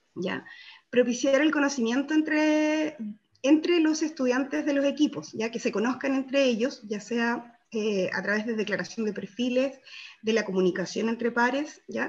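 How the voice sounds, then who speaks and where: This woman speaks with a high pitch and lively intonation. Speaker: workshop participant presenting group results. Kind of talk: group presentation in online workshop. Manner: fast; hesitant, many fillers. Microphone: video call.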